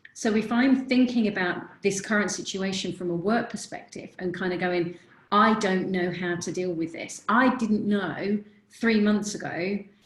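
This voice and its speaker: Here is a woman with a plain, everyday voice at a medium pitch. She talks at a moderate pace with fairly even intonation. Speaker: confidence coach. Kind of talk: webinar presentation.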